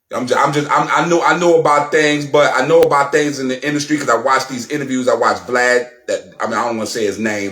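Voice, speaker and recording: A man talks at a fairly quick pace and a medium pitch. His pitch varies in an ordinary way, and there is noticeable background noise. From Brownsville, Brooklyn, New York. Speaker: YouTube commentator. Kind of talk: reaction commentary. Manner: animated.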